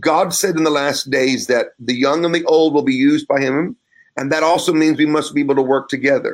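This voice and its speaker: Delivered in a plain, everyday voice, the speech moves at a fairly quick pace with very even loudness and ordinary pitch variation. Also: man, fairly high pitch for a man. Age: 50s. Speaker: pastor and author. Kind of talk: interview.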